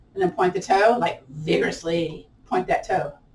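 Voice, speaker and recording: The tone is animated, though the pace is fairly slow. Noticeable background noise can be heard. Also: woman. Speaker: yoga and tai chi instructor. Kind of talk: guided exercise class.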